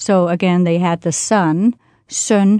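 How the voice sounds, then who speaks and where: A woman with a Danish accent speaks at a medium pitch in a dark, mellow tone over a quiet background. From Denmark, near Roskilde. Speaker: language and culture expert. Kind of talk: interview.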